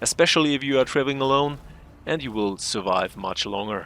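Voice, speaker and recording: This man's tone is bright and sharp. He talks at a fairly quick pace with ordinary pitch variation. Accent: non-native. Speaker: gaming youtuber. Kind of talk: tutorial; scripted narration. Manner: careful, read from script.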